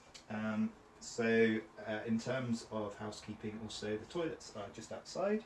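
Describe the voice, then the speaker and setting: A man's medium-pitched voice at a fairly slow pace with fairly even intonation, amid noticeable background noise. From Cornwall, England. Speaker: trainer. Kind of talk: training session.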